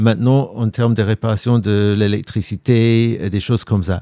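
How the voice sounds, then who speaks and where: On a very clean recording with a silent background, a man with an English accent and a dark, mellow tone speaks at a fairly slow pace in a medium pitch with fairly even intonation. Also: dry, close sound with no echo. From England, London. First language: English (speaking French). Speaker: war reporter, TV journalist. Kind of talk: interview conversation.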